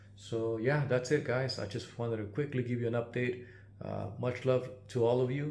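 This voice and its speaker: A man talks at a medium pitch and a moderate pace. His pitch varies in an ordinary way, and audible room echo surrounds him. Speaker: GPU repair technician and YouTuber. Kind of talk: casual channel update. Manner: halting, many filler words.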